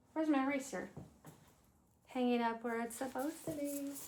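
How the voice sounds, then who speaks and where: Amid audible room echo, a woman speaks at a high pitch with ordinary pitch variation. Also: long, frequent pauses. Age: 50s. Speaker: lifestyle vlogger. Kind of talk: casual chat.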